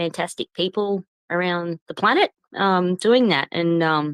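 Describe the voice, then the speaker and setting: In an Australian accent, a woman speaks fairly slowly in a fairly low voice, with a dry, close sound and no echo. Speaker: professional singer and crypto project owner. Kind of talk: interview. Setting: online audio space. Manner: hesitant, many fillers.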